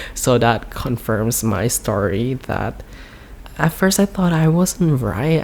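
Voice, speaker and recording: Amid noticeable background noise, someone with a Thai accent speaks at a very slow pace with lively intonation. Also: man. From Thailand. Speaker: YouTuber. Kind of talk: casual storytime vlog. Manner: halting, many fillers.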